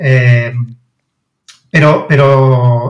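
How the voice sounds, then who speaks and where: A man is talking here. There is a somewhat breathy quality to his voice. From Barcelona, Spain. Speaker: science and maths content writer, author. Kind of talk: interview.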